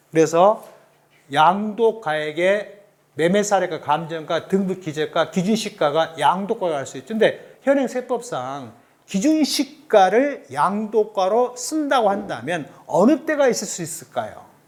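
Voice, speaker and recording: A high-pitched male voice with a slight Jeolla accent, fairly slow, with very wide pitch swings and big swings in loudness. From South Jeolla, Korea (Suncheon). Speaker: tax accountant, lecturer. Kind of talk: lecture.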